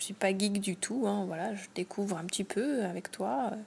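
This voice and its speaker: At a moderate pace, a woman speaks at medium pitch in a somewhat breathy voice. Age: 20s. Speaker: host's partner, non-tech user. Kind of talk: casual interview chat.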